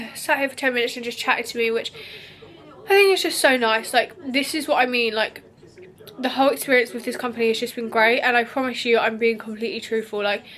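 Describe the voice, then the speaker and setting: A woman with a British accent speaks very fast in a high voice with ordinary pitch variation, over noticeable background noise. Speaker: beauty vlogger. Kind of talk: vlog. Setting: hotel room. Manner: casual, chatty.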